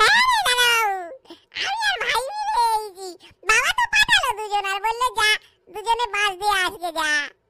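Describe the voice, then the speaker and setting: Pitched extremely high, a cartoonish character voice moves at a moderate pace with fairly even intonation. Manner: childish, rustic.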